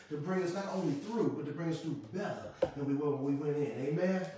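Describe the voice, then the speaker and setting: Ordinary pitch variation, with light background noise and strong room echo. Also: man. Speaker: pastor. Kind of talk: sermon. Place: home room.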